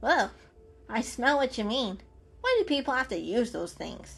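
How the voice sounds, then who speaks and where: A woman puts on a shrill character voice at a high pitch, speaking at a moderate pace while faint music plays in the background. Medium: read story. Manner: sarcastic, suspicious.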